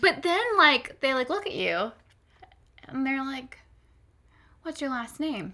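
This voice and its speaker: An animated, raised and projected woman's voice in an American accent, high-pitched with lively intonation. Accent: loud American. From Florida, US South. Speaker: podcast co-host. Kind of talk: casual chat. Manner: loud; animated, many fillers.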